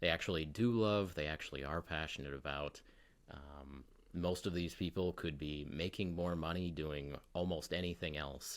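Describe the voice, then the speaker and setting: His voice is very deep and low, with a calm tone. The man keeps a moderate pace and fairly even intonation. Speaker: miniature painting youtuber. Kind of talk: casual interview chat. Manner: calm and mellow; some fillers and repeats.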